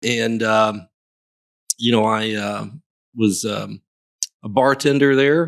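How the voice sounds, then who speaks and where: With a slight Southern US accent, a man talks at a very slow pace in a medium pitch, with ordinary pitch variation and long, frequent pauses. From US South, Memphis, Tennessee. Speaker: real estate broker. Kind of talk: casual chat.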